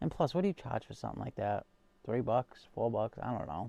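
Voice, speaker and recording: A man with a Massachusetts accent is heard in a dry, close sound with no echo against a quiet background. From Massachusetts, US. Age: 21 or older. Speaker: knife collector and livestream host. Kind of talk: casual livestream chat reading viewer comments. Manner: hesitant, many fillers and repeats.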